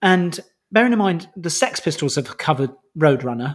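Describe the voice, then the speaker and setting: An ordinary speaking voice from a man at a moderate pace, with ordinary pitch variation and a very clean recording over a silent background. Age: 30s. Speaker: music podcast co-host. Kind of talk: casual chat.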